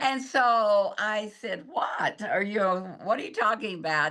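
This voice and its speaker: Against a quiet background, a woman talks at a medium pitch with a bright, sharp tone. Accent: American. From Texas. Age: 80s+. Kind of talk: interview answer.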